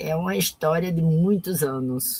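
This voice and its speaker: Here a woman speaks with lively intonation. The sound is dry and close, with no echo. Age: 60s. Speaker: artisan and cultural activist. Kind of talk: live interview. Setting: online live stream.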